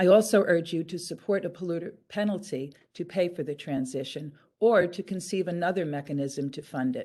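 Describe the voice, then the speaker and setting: A woman with a fairly low pitch and a dark, mellow tone speaks at a fairly quick pace with ordinary pitch variation over a quiet background. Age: 70s. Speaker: public commenter, climate activist. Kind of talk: public hearing testimony. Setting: virtual public hearing, video call. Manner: formal.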